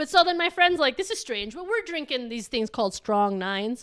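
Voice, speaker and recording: In a raised, projected voice, a woman speaks with an animated, bright and sharp tone and very wide pitch swings. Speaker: guest recounting travels. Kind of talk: casual chat. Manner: loud.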